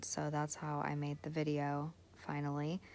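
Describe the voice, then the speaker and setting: The voice is quiet. It moves at a fairly slow pace. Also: woman. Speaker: nail art youtuber. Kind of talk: tutorial. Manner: casual, chatty.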